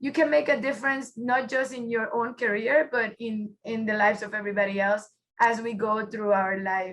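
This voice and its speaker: A woman with a Puerto Rican accent talks at a moderate pace. Her fairly high pitch shows ordinary variation. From Puerto Rico. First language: Spanish. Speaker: automotive engineer, workshop presenter. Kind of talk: webinar presentation.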